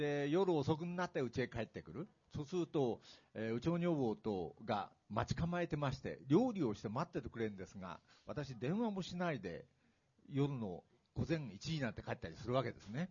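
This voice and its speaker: A man's fairly high voice with very wide pitch swings, big shifts in loudness, a somewhat breathy quality and a moderate pace. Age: 60s. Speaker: retired executive and author. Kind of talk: public talk event interview. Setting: stage with audience.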